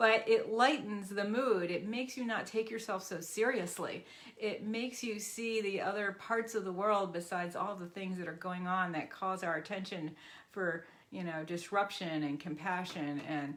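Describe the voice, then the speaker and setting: At a moderate pace and medium pitch, a woman talks in a normal speaking voice, her pitch varying in an ordinary way. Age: 60s. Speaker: physical therapist and animal practitioner. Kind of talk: casual talk to camera.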